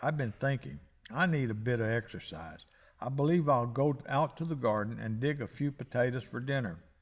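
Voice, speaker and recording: Putting on a whiny character voice, a man speaks at a medium pitch and moderate pace with ordinary pitch variation. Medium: read story.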